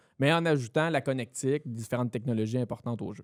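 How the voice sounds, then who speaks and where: A man with a Quebec accent speaks with lively intonation in a very clean recording against a silent background. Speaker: TV and video expert. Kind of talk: casual interview.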